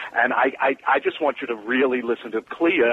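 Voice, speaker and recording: A medium-pitched man with an American accent at a moderate pace, amid noticeable background noise. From New York. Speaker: musical theatre writer. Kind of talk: casual interview chat. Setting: phone call.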